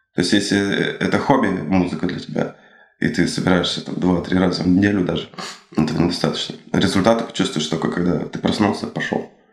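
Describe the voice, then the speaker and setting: Over noticeable background noise, a man talks at a fairly quick pace in a very deep, low voice with fairly even intonation. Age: 30s. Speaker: drummer. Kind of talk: interview. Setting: studio.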